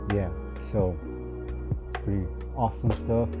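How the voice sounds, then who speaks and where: A man speaks with music in the background. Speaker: vlogger unboxing a phone. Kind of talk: casual unboxing commentary. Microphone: phone near.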